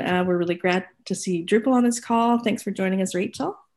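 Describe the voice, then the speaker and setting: A woman speaks with a Canadian accent. The background is quiet. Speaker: community call moderator. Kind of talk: panel moderation on live-streamed video call. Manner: hesitant, many fillers.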